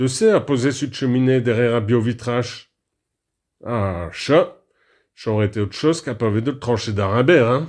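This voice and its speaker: A man's medium-pitched voice with a Picard accent, long and frequent pauses, and a very clean recording over a silent background. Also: ordinary pitch variation, moderate pace. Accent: Picard dialect, local patois. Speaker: radio presenter. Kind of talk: comic radio monologue. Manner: humorous, chatty.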